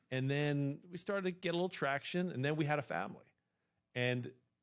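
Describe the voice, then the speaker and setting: Lively intonation marks this man's delivery at a moderate pace. He has a normal speaking voice, pitched fairly high. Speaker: sports broadcaster, play-by-play announcer. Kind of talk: casual interview answer, storytelling. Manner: fluent, reflective.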